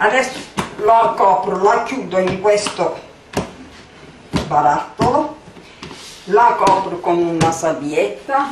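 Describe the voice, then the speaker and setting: A woman talks at a very slow pace with long, frequent pauses. There is audible room echo and noticeable background noise. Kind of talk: tutorial. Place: kitchen. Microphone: camera far.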